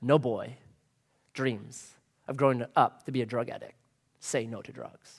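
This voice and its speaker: Putting on a booming character voice, a man speaks at a medium pitch and a moderate pace, with long, frequent pauses. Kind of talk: announcer voice. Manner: authoritative, solemn.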